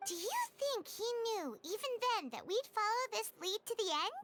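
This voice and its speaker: In a put-on character voice, the speaker sounds squeaky at an extremely high pitch and a moderate pace. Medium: video game. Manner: lively, thinking aloud.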